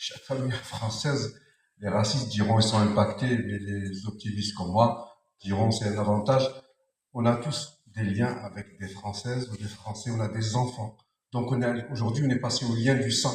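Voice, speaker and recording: This is a man with an unremarkable speaking voice. His pitch is medium. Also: fairly even intonation, moderate pace. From France. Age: 60s. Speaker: audience member in open debate. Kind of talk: public debate.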